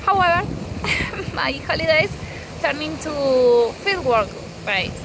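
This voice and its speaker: Amid noticeable background noise and audible room echo, a woman with an Argentine accent talks fairly slowly in a high voice with very wide pitch swings. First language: Spanish. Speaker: field researcher. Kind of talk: recorded personal message. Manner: halting.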